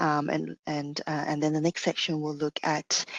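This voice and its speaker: Here a woman with a non-native accent talks at a fairly slow pace. Her very deep, low pitch stays monotone and flat. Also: dry, close sound with no echo. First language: not English. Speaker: teacher. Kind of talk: lecture. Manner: halting, many fillers.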